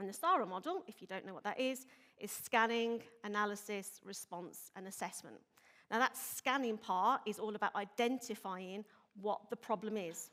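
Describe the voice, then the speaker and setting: A woman with a Birmingham accent at a moderate pace, with ordinary pitch variation and big swings in loudness. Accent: Birmingham (Brummie). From Birmingham, England. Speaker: police inspector, intelligence manager. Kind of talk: conference presentation. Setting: stage with audience.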